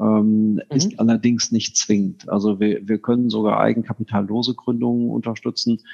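Dry, close sound with no echo from a man at medium pitch, dark and mellow in tone, with fairly even intonation, very even loudness, a moderate pace and hardly any pauses. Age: 50s. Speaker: company executive. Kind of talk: interview.

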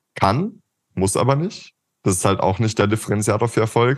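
A man at a fairly quick pace, against a quiet background. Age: 20s. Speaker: marketing agency co-founder. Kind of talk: casual interview. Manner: animated.

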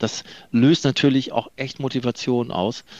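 A man speaks at a medium pitch, his voice dry and close with no echo against a quiet background. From northern Germany, Delmenhorst. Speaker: company managing director. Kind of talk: interview. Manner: hesitant, many fillers and repetitions.

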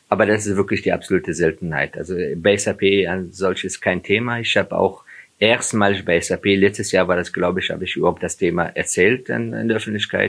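Fairly low in pitch with ordinary variation, a man talks at a fairly quick speed. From Afghanistan (Kabul). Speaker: HR executive. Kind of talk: interview. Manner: halting, many fillers.

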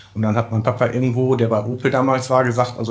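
The intonation is monotone and flat. The voice sounds somewhat breathy. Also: man. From Ruhr area, Bochum. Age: 40s. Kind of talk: interview.

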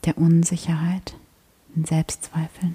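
A woman with a fairly low pitch speaks fairly slowly in a monotone, flat way, the sound dry and close with no echo. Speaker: meditation guide and podcast host. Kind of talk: guided meditation, spoken prayer-like, addressing listener as 'du' with long calm pauses. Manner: slow, soft-spoken, soothing and gentle, with unhurried pacing; warm, devout, intimate tone.

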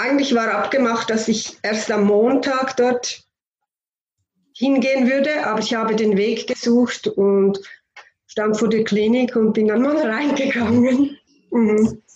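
Long, frequent pauses break up the speech. It moves at a very slow pace with very even loudness. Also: woman, fairly high pitch for a woman. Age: 50s. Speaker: homeopath and anaesthesia nurse. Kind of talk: interview.

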